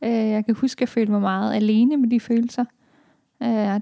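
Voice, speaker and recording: A woman with a dark, mellow tone and a fairly high pitch speaks in a monotone with flat intonation at a moderate pace, the sound dry and close with no echo, on a very clean recording with a silent background. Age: 20s. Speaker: café operations manager. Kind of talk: podcast interview. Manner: halting.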